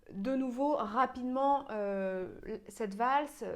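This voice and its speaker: The intonation here is lively. The speaker is a woman. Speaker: piano teacher. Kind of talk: tutorial. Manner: hesitant, many fillers.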